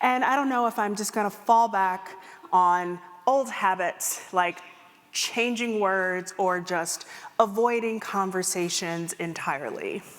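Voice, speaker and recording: A fairly slow pace, ordinary pitch variation and a Midwestern American accent. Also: woman, medium pitch for a woman. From US Midwest. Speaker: keynote speaker and empathy consultant. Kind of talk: keynote talk. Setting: stage with audience.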